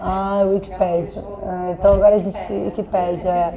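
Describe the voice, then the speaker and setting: A woman speaks in a Rio de Janeiro accent. Her pace is moderate, with light background noise. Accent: Carioca Brazilian Portuguese. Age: 30s. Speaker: funk singer. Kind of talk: casual interview answer. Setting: at home. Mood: playful, amused. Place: home room.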